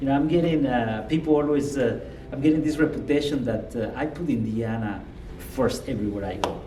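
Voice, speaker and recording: There is audible room echo and noticeable background noise. A man with a fairly high pitch speaks quite quickly in a Guatemalan accent. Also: ordinary pitch variation. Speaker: state politician. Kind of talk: interview.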